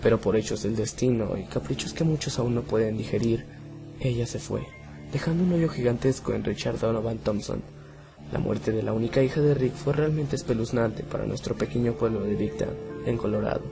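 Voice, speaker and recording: With music in the background, a man moves along at a fairly quick pace, his pitch swinging very widely. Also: medium pitch for a man. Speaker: horror story narrator. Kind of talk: horror story narration.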